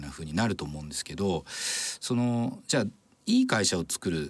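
With lively intonation, a man speaks fairly quickly. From Japan, Tokushima. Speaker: entrepreneur and venture capitalist. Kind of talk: radio interview.

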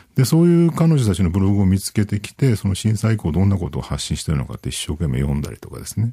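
A man speaks very fast with hardly any pauses, his fairly low, somewhat breathy voice dark and mellow in tone and swinging very widely in pitch. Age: 40s. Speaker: IT journalist. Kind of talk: interview. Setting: studio.

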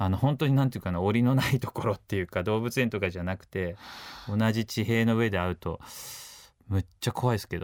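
In a very clean recording with a silent background, a man speaks at a fairly low pitch and fairly quick pace with ordinary pitch variation, the sound dry and close with no echo. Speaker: photographer and adventurer. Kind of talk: interview. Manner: casual, hesitant fillers.

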